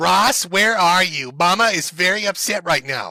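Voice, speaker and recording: A shrill, put-on character voice from a man, high in pitch, with ordinary pitch variation and a moderate pace. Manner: scolding, upset.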